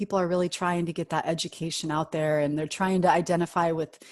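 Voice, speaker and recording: Over a quiet background, a woman with a normal speaking voice and a fairly low pitch talks at a moderate pace. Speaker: podcast host. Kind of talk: interview question.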